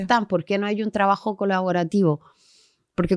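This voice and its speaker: This very clean recording of a woman has a silent background. Her voice sounds dry and close, without any echo. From Chile. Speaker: geographer, urban planner, massage therapist. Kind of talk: podcast interview answer.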